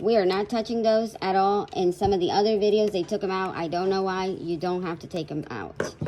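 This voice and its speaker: A woman speaks in a Puerto Rican accent. Her pitch variation is ordinary. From Puerto Rico. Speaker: crafter, online shop owner. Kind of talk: DIY repair tutorial. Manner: shy.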